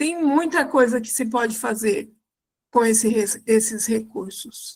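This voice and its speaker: A woman speaks fairly slowly in a plain, everyday voice, her fairly high pitch showing ordinary pitch variation. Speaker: church fundraising consultant. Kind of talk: online live class.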